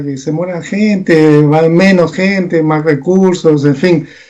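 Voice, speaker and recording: A man speaks at a fairly slow pace. His voice is high in pitch with a dark, mellow tone. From Peru. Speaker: communication analyst. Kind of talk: political analysis interview.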